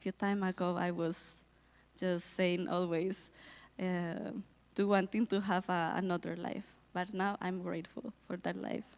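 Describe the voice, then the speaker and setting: In a Colombian accent, a woman talks at a fairly slow pace with flat, monotone intonation on a very clean recording with a silent background. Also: medium pitch for a woman. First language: Spanish. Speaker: missionary volunteer. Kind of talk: testimony. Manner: halting.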